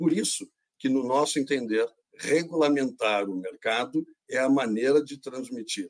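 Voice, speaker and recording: A man speaks in an ordinary speaking voice at medium pitch and a moderate pace, the sound dry and close with no echo. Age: 60s. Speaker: industry association president. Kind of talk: panel discussion.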